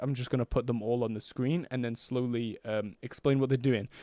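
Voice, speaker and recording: Over a quiet background, a man speaks in a dark, mellow tone with fairly even intonation and a dry sound with no echo. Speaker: music production tutor. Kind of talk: tutorial. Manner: fast; casual, hesitant with fillers. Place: home room. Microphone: studio mic.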